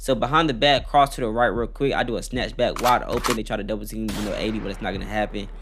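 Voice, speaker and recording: A man talks at a very fast pace. He hardly pauses at all. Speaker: gaming YouTuber. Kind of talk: gameplay commentary; channel outro. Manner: stuttering.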